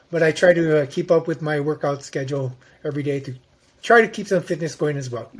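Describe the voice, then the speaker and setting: Speaking very fast, a man with a fairly high voice sounds somewhat breathy and uses ordinary pitch variation. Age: 60s. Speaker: psychology researcher on nonverbal behavior. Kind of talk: interview.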